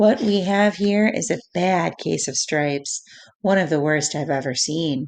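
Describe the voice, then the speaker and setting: A woman's raspy, put-on character voice, fairly low-pitched, with lively intonation at a moderate pace against a quiet background. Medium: read story. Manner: bright, gentle.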